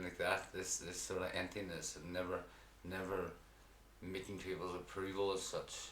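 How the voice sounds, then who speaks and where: A man with a Derry accent speaks at a very deep, low pitch and a moderate pace. Audible room echo and noticeable background noise fill the recording. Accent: Northern Irish (Derry). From Northern Ireland, County Derry. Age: 30s. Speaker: person in addiction recovery, amateur fighter. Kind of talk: interview testimony. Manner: blunt; halting.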